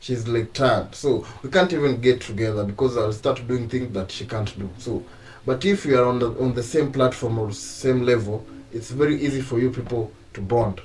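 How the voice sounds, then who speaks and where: A man with an East African accent speaks at a moderate pace and medium pitch, somewhat breathy, with ordinary pitch variation. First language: Swahili. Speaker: YouTube couple channel host. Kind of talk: casual chat.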